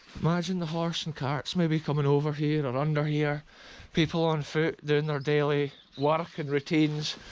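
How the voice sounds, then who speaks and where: At a moderate pace, a man with a Scottish accent speaks at a fairly high pitch. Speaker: urban explorer vlogger. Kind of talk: exploration vlog narration. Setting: outdoors. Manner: animated.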